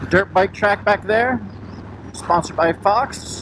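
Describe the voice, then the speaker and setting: Over noticeable background noise, a man talks with a high pitch. His intonation is lively, and his pace is fairly slow. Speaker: motorcycle vlogger. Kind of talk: casual vlog narration while riding.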